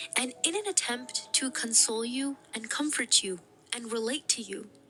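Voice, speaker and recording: With music in the background, a woman talks in a high voice with lively intonation at a moderate pace. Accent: American. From US, Pakistani-American family. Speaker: YouTuber. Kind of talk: casual vlog monologue.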